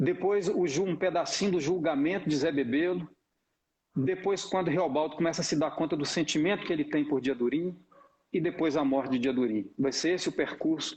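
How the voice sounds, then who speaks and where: This man speaks at a moderate pace in a rural Minas Gerais accent, his pitch fairly high. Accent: rural Minas Gerais accent of his childhood. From Brazil, Novo Cruzeiro, northeast Minas Gerais. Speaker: actor. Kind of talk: casual introduction talk. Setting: live stream.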